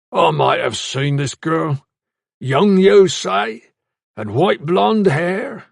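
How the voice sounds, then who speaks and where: A man does a raspy put-on character voice at a very slow pace. His fairly high pitch swings very widely. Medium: read story. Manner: gruff, wheedling.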